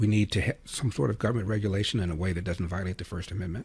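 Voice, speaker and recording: A man speaks at a fairly low pitch with ordinary pitch variation. His voice is somewhat breathy. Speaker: conservative talk radio host. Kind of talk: radio talk show monologue. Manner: opinionated, commentary.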